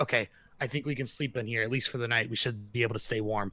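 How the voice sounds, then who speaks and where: A man puts on a raspy character voice at medium pitch. He rattles along at a very fast pace with fairly even intonation. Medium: actual play.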